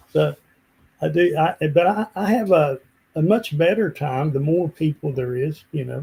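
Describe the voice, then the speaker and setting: With an Appalachian accent, a man talks at a moderate pace in a fairly high pitch with ordinary pitch variation. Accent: Appalachian Southern American. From West Virginia. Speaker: country singer-songwriter. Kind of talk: casual interview answer.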